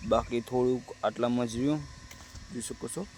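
Noticeable background noise runs under a man's voice. His pitch is medium and his intonation fairly even. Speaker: farmer and village vlogger. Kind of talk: casual vlog narration.

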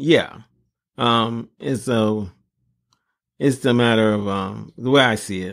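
A man with an American accent at a medium pitch, very slow, with fairly even intonation, long, frequent pauses, and a very clean recording over a silent background. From South Central Los Angeles. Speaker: podcast co-host. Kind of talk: casual chat.

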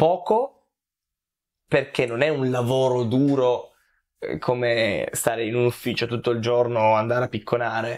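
A man speaks at a fairly slow pace with long, frequent pauses and fairly even intonation. His loudness stays very even over a quiet background. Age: 20s. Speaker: content creator. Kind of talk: interview. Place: home room. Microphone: lapel.

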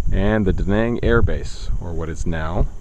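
A man speaks at a very deep, low pitch and a fairly slow pace. The sound is dry with no echo, though background noise is noticeable. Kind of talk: casual travel commentary. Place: open country. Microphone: phone near.

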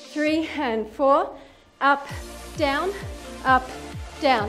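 High-pitched woman at a very slow pace with ordinary pitch variation over clear music in the background. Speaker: fitness instructor. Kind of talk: workout instruction cueing. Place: home room.

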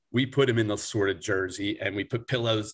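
In a Philadelphia accent, a man speaks at a moderate pace. The background is quiet. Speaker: sports team mascot performer; podcast guest. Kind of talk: casual interview. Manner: animated. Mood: amused, telling funny story. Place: home room. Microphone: video call.

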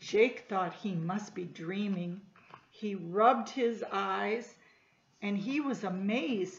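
A woman's words come out very slowly, with audible echo from the room around her. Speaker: storytime reader. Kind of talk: reading a children's story aloud. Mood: gentle, warm storytelling. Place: home room. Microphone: webcam.

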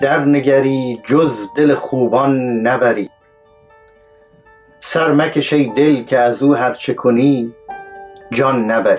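A man talks with ordinary pitch variation. Faint music plays behind him. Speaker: poetry reciter. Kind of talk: poetry reading. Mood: calm, measured. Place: studio.

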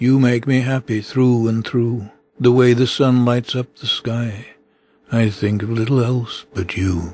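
A man speaks at a fairly slow pace in a somewhat breathy, medium-pitched voice with fairly even intonation. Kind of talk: poetry reading.

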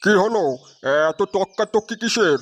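In a cartoonish character voice, a man speaks high-pitched, with a dry, close sound free of echo and a very clean recording over a silent background. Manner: blunt, with a filler 'e' between phrases.

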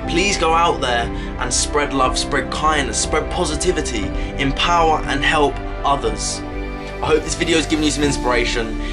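Loud background noise behind a man at a moderate pace. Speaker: motivational speaker. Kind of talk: motivational talk to camera. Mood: warm, encouraging. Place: home room. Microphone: phone near.

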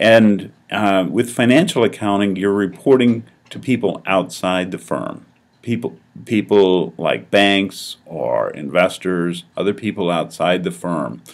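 A man speaks with an American accent at a fairly slow pace. His pitch is fairly low, with ordinary variation. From US, Colorado. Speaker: accounting professor. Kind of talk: course introduction video. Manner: hesitant, many fillers.

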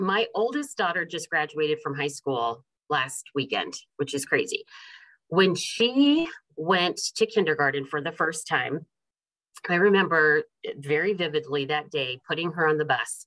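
Over a quiet background, the speaker talks at a fairly slow pace with lively intonation. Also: woman, fairly low pitch for a woman. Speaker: invited lecturer. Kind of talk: lecture. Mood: warm, lightly humorous. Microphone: video call.

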